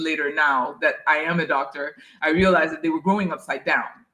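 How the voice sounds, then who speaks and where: A woman's fairly low voice in a French accent, bright and sharp in tone. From Haiti. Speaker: dentist. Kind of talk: interview.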